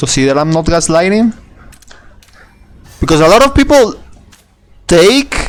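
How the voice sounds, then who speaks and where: A man with a non-native accent speaks at a high pitch with very wide pitch swings. Long, frequent pauses break his speech over music in the background. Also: moderate pace. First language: not English. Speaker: gaming video creator. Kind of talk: gameplay tutorial. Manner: halting, many restarts and repetitions; casual, swears.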